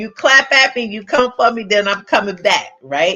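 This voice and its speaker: In an animated tone, a woman speaks at a fairly high pitch with lively intonation. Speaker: live stream host, coach. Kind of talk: live stream talk to viewers. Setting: live stream. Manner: loud.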